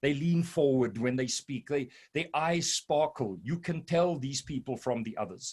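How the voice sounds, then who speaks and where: This man has a South African accent and a fairly high pitch. His voice sounds somewhat breathy. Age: 60s. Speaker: business consultant. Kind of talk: presentation.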